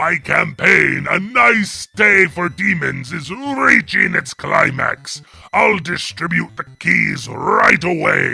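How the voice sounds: In a raspy, put-on character voice, a man speaks at a very slow pace and a fairly high pitch, with hardly any pauses.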